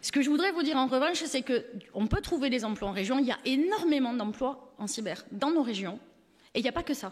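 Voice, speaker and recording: Her voice high-pitched with lively intonation, a woman talks at a fairly quick pace. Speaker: cybersecurity professional, award speaker. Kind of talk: award speech.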